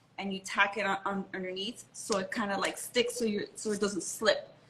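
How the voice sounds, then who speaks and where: With an American accent, a woman talks at a moderate pace over noticeable background noise. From Miami, Florida. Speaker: model and designer. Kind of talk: casual interview.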